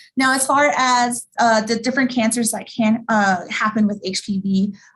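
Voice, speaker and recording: She speaks in an American accent at a fairly high pitch. The woman's pitch variation is ordinary. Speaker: sex educator. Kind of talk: educational presentation. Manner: fast; casual, with many fillers.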